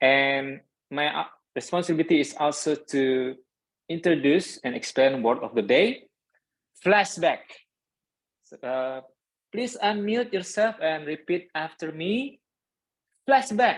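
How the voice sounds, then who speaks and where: In an Indonesian accent, the speaker talks at a very slow pace with very wide pitch swings and long, frequent pauses. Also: man, fairly high pitch for a man. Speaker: toastmasters club member, grammarian. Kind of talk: club meeting role explanation.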